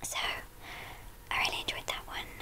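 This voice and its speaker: Noticeable background noise runs beneath a woman who is whispering. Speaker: ASMR artist. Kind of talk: ASMR chit-chat answering viewer questions. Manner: whispered.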